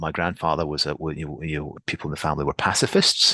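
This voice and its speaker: Dry and close with no echo, a man's voice with a Scottish accent has a very deep, low pitch and a bright, sharp tone. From Scotland. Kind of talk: podcast interview. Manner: halting, many repetitions.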